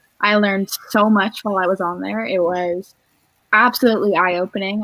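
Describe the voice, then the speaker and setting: A woman with a General American accent has an unremarkable speaking voice, medium in pitch with fairly even intonation, at a moderate pace in a dry, close sound with no echo. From Northern California. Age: young. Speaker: singer-songwriter. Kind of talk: interview.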